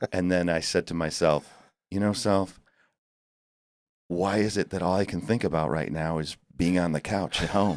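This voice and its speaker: A man talks in a very deep, low pitch at a moderate pace. Long, frequent pauses break up his speech in a very clean recording with a silent background. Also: ordinary pitch variation. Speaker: tribute band singer. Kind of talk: casual interview chat. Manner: stuttering, halting.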